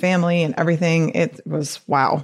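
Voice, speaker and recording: A woman's very deep, low voice, animated in tone, with a Detroit accent. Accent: Detroit-area Midwestern. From US Midwest, Detroit area. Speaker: physician and weight loss coach podcast host. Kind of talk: solo podcast talk. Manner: animated, frequent laughter.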